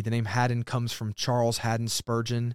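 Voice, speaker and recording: On a very clean recording with a silent background and a dry, close sound with no echo, a man speaks at a medium pitch with a Southern US accent. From Alabama. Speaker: pastor. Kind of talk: casual chat. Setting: studio.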